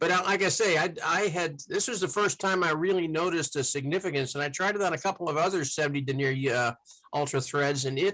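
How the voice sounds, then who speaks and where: At a very fast pace, a man with a fairly high pitch talks with very even loudness and ordinary pitch variation. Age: 70s. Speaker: fly tier. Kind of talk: casual chat.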